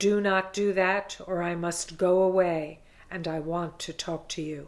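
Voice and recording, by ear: A female-sounding, growling put-on character voice at a middle pitch keeps a moderate pace and monotone, flat intonation.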